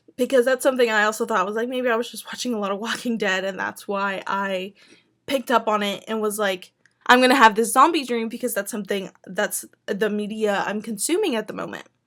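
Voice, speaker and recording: A woman's put-on character voice, raspy and fairly high in pitch, with ordinary pitch variation and a fairly quick pace. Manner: talking really fast.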